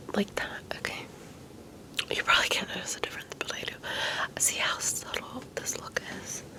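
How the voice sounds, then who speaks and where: Someone whispers at a moderate pace, with long, frequent pauses. Noticeable background noise runs underneath. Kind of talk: ASMR makeup tutorial talk to camera. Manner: whispered.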